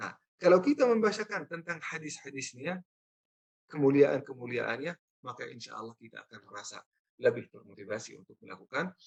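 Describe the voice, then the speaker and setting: Talking at a fairly quick pace, a man with a non-native accent shows big swings in loudness. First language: not Indonesian (speaking Indonesian). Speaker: Islamic preacher. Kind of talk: religious lecture.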